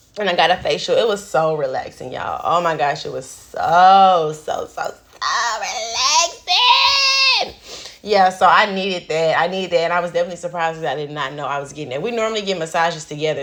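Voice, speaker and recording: A woman speaks at a fairly quick pace in an animated tone, her pitch fairly low. Her pitch varies in an ordinary way, with noticeable background noise behind her. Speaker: lifestyle vlogger. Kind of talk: casual chat.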